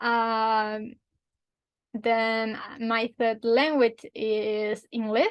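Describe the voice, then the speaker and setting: A woman's fairly high, flat monotone in a Spanish accent at a very slow pace. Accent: Spanish (Spain) accent in English. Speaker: language teacher. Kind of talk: tutorial. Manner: halting.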